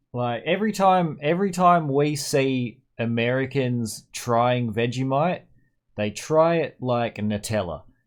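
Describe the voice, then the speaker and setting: A man with an Australian accent speaks at a very slow pace in a medium pitch, his intonation lively. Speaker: gaming streamer. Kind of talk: casual chat. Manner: repetitive, stammering restarts.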